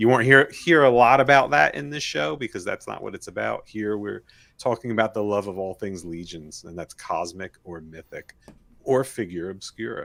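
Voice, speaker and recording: A man with a New Jersey accent speaks at a moderate pace in a fairly low pitch, his intonation lively and his loudness swinging widely. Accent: New Jersey American. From New Jersey, US. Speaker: podcast co-host and toy parts maker. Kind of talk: casual chat.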